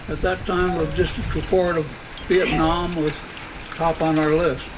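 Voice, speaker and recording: A high-pitched man talks at a moderate speed amid noticeable background noise. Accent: American. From Washington State, USA. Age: 80s+. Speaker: retired Air Force lieutenant general. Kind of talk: birthday celebration speech.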